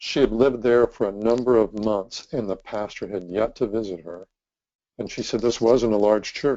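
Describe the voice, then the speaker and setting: Delivered at a moderate pace, an ordinary speaking voice keeps a fairly even intonation. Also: man. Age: 60s. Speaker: ministry leader and trainer. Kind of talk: presentation.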